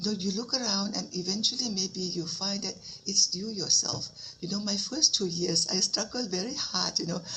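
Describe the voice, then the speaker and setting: Amid noticeable background noise, a woman with a Thai accent speaks at medium pitch and a moderate pace with ordinary pitch variation. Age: 70s. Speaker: Buddhist nun teacher. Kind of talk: dharma talk.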